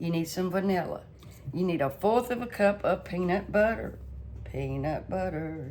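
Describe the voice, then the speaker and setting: Over noticeable background noise, a woman in a Southern US accent speaks at a moderate pace with medium pitch and ordinary pitch variation. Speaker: home cooking channel host. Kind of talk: cooking tutorial. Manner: casual, chatty.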